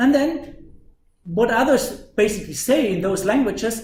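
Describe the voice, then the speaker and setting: With a German accent, a man speaks at a high pitch using lively intonation, and audible room echo surrounds his voice. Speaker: university lecturer. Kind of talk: lecture. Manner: animated.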